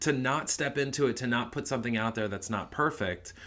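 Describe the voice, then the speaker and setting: Here is a man with a plain, everyday voice. He speaks at a medium pitch with ordinary pitch variation. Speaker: family vlogger. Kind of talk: casual chat.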